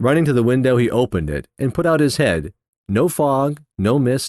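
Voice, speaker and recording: With an American accent and very wide pitch swings, a man speaks over a quiet background in a dry, close recording with no echo. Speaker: audiobook narrator. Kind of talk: audiobook narration of a classic novel.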